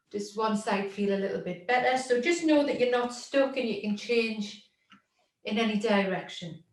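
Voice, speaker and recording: A woman speaks with fairly high pitch and ordinary pitch variation. Audible room echo surrounds her voice. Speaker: workshop facilitator and therapist. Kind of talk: guided body-awareness exercise. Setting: video call. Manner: loud; slow, calm instructional pacing. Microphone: far from the mic.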